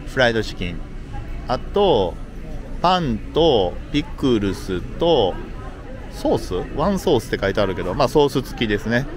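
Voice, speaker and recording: A man at a fairly slow pace with very wide pitch swings, in a dry sound with no echo and noticeable background noise. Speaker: travel vlogger. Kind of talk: casual vlog chat. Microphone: phone near.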